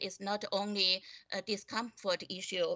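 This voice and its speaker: A woman with a non-native accent speaks at a medium pitch. Her pace is very slow and her intonation fairly even. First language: not English. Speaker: school board trustee. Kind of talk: board meeting debate. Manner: halting, many fillers and repetitions.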